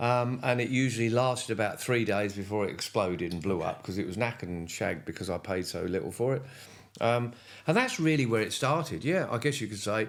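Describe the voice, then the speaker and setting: A man speaks with a southern English accent at a fairly quick pace. His intonation is lively. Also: medium pitch for a man. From England, Cambridgeshire. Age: 70s. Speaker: retired motorcycle racer. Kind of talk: casual interview.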